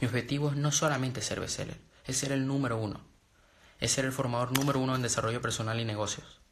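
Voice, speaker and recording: A man's medium-pitched, somewhat breathy voice at a very fast pace, monotone and flat in intonation, with audible room echo. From Venezuela. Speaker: motivational speaker. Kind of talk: live stream talk.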